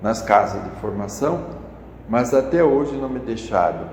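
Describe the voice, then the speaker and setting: A man speaks at a fairly slow pace amid noticeable background noise. Audible room echo surrounds his voice. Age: 70s. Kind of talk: interview. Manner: halting, with repetitions.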